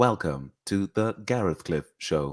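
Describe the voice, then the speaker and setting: In a robotic, put-on character voice, a man speaks fairly slowly at a very deep, low pitch on a very clean recording with a silent background. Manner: stitched together, unnatural rhythm.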